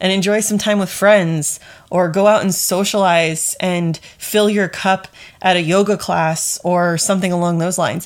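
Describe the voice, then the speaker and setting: At a moderate pace, a woman speaks in an ordinary speaking voice with a medium pitch. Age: 30s. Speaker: podcast host, leadership coach. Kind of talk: solo podcast monologue. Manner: casual, conversational.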